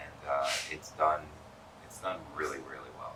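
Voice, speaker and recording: A man with an American accent talks fairly quickly, noticeable background noise around him. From New York, Long Island. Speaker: pen distributor representative. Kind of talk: interview. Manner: fast. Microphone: poor audio quality.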